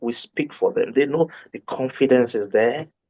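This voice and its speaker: Very wide pitch swings at a moderate pace. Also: man. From Nigeria. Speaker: medical doctor. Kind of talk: interview.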